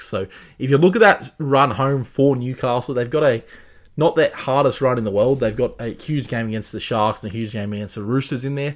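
The speaker talks at a fairly quick pace in an Australian accent, with ordinary pitch variation. The recording is very clean, with a silent background. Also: man. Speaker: rugby league tipster podcaster. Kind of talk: solo podcast, sports predictions and recap. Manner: halting, filler words, hesitant.

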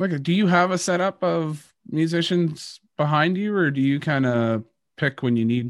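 A man with a Canadian accent and a plain, everyday voice, fairly high in pitch, with ordinary pitch variation, a moderate pace and very even loudness against a quiet background. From Canada. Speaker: podcast host and country musician. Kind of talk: interview; scripted narration.

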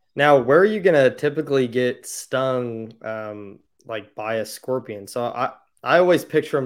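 An unremarkable speaking voice from a man with an American accent, medium in pitch and moderate in pace, on a very clean recording with a silent background. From Indiana. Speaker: podcast host, hunter. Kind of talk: casual interview.

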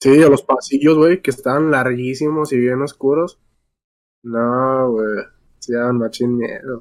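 A man with a Mexican accent talks at a fairly slow pace in a fairly even intonation. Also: medium pitch for a man. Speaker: podcast co-host. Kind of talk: casual chat.

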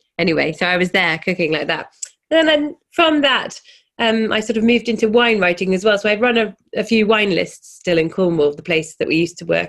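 A woman's medium-pitched voice with a southern English accent, very wide pitch swings and a fairly quick pace. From England, London. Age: 40s. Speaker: chef and cookbook author. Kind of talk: casual chat.

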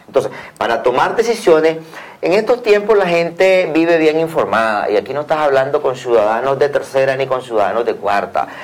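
Noticeable background noise sits behind a man at a moderate pace. His high voice makes very wide pitch swings. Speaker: opposition party official. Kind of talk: TV interview.

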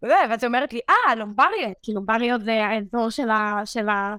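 Here a woman speaks at a moderate pace with a fairly high pitch and a bright, sharp tone. The recording is very clean with a silent background, and the sound is dry and close with no echo. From Israel, Beersheba area. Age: 20s. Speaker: medical student. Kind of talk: interview.

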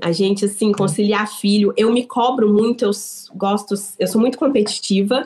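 A woman speaks at a fairly slow pace, her voice somewhat breathy with a dark, mellow tone. Her pitch is fairly high, with ordinary variation. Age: 30s. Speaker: business owner. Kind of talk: interview.

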